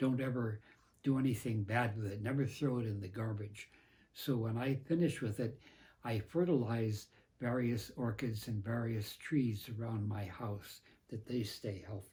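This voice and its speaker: A man's somewhat breathy voice at medium pitch, dark and mellow in tone, on a very clean recording with a silent background. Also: ordinary pitch variation, moderate pace. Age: 90s. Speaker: professor and priest. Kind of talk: tutorial. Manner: halting.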